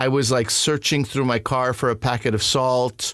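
A monotone, flat voice with a Canadian accent in a very clean recording with a silent background. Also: man. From Montreal, Quebec, Canada. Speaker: comedian. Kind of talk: casual chat.

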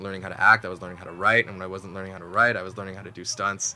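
A man with a Canadian accent speaks very fast at a fairly low pitch. Noticeable background noise runs under his voice. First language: Mandarin. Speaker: actor. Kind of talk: casual interview. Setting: studio. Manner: halting, many fillers.

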